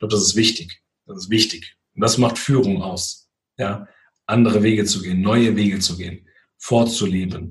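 A man's fairly low, somewhat breathy voice with fairly even intonation and big swings in loudness. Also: moderate pace. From Hesse, Frankfurt area. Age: 30s. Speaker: musician and leadership trainer. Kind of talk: interview conversation.

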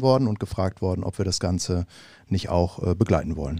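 This very clean recording with a silent background carries a dark, mellow tone and ordinary pitch variation. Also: man. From Bavaria, Munich. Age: 40s. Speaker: fan club chairman. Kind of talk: podcast interview. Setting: studio.

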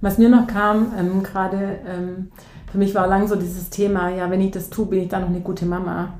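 A woman's monotone, flat intonation in audible room echo. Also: medium pitch for a woman, moderate pace. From southern Germany, near Ulm (Swabia). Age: 40s. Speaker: teacher and coach. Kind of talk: interview. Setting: in person, studio.

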